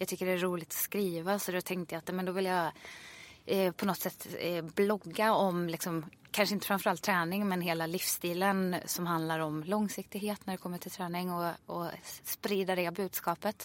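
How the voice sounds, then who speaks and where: Flat, monotone woman at a medium pitch and moderate pace, on a very clean recording with a silent background. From Sweden, Ulricehamn. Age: 30s. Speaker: fitness instructor. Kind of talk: casual interview chat.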